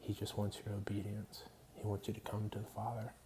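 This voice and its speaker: A quiet, somewhat breathy man's voice, fairly low in pitch, at a moderate pace. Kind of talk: personal testimony monologue. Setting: at home at night. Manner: quiet, hushed; hesitant, many fillers.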